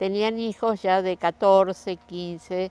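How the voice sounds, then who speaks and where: Very slowly, a woman speaks in a dry, close sound with no echo. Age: 80s+. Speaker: grandmother telling family history. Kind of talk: oral history interview.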